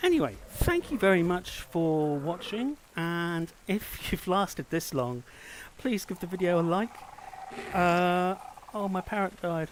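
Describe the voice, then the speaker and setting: A man speaks with a British accent at a high pitch. His pace is fairly slow, and his pitch varies in an ordinary way. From Britain. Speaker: gaming streamer. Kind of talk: gameplay commentary. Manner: halting, frequent repetitions; casual.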